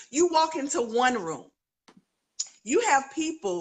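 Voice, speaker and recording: A woman talks in an animated tone, her pitch swinging very widely. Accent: North Carolina. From North Carolina, US South. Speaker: author and education speaker. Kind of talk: interview on live video stream. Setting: live video stream.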